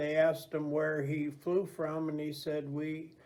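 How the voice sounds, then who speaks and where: In an American accent, a man talks at a very slow pace and a fairly high pitch, with audible room echo. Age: 70s. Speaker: navy veteran. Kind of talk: interview. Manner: halting, many fillers.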